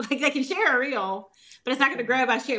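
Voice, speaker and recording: A woman's bright, sharp voice with ordinary pitch variation and a Southern US accent. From US South. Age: 40s. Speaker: holistic nutritionist. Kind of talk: interview. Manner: fast.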